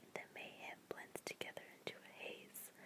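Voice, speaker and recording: Noticeable background noise fills the recording. Through it, a woman whispers at a fairly slow pace. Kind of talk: whispered book reading. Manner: whispered.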